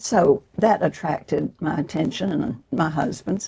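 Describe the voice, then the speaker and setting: A woman speaks with a Southern US accent. Her tone is dark and mellow, and somewhat breathy. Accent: Southern American. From Georgia, USA. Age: 90s. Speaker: author and former political activist. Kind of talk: interview answer.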